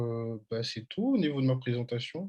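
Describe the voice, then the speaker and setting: A man speaks at a medium pitch. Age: 30s. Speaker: professional basketball player. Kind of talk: video call interview. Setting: video call. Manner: hesitant.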